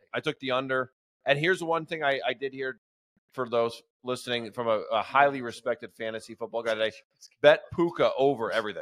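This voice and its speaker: Dry and close with no echo, a man speaks in an unremarkable speaking voice at medium pitch with ordinary pitch variation. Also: fairly quick pace. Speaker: sports podcast co-host. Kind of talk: casual chat.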